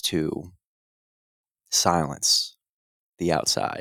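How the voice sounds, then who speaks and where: The recording is very clean with a silent background and a dry, close sound with no echo, carrying a voice with vocal fry and fairly even intonation. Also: man. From US Northeast (New Jersey). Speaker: fitness coach. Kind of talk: casual chat. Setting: home recording.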